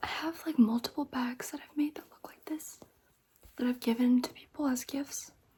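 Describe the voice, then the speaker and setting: The speaker is soft-spoken, moving at a moderate pace with ordinary pitch variation. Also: woman, high pitch for a woman. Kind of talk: ASMR crochet show-and-tell, casual talk to camera. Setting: quiet bedroom lit by candles.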